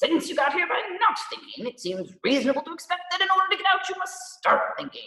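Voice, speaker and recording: A man's put-on character voice, extremely high-pitched and growling, at a fairly quick pace. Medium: read story. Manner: brisk, commanding.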